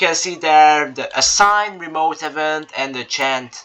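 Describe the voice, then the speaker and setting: A man's fairly slow speech with very wide pitch swings over noticeable background noise. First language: not English. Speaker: game tutorial creator. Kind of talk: tutorial. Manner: halting, with fillers and restarts.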